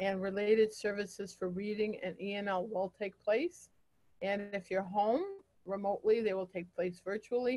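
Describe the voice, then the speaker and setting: A woman speaks at a moderate pace and medium pitch with fairly even intonation. She has an unremarkable speaking voice. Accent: American. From upstate New York. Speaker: school principal. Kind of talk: informational presentation to parents.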